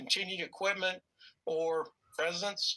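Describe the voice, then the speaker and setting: In a North Florida accent, a man speaks at a moderate pace. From US South (North Florida). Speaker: Air Force veteran and YouTuber. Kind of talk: heated debate. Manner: halting.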